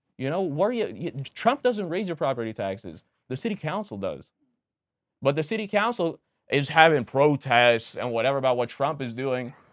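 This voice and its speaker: With a slight Romanian accent, a man speaks in an animated tone at a fairly high pitch, his pitch swinging very widely over a quiet background. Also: moderate pace. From Pennsylvania, USA (Reading) with early childhood in Romania. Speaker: political candidate and restaurant owner. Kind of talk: casual podcast interview.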